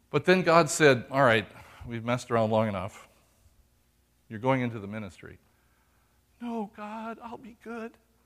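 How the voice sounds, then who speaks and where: A man's voice with very wide pitch swings and long, frequent pauses. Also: medium pitch for a man, moderate pace, big swings in loudness. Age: 60s. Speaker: pastor. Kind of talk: sermon. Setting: church.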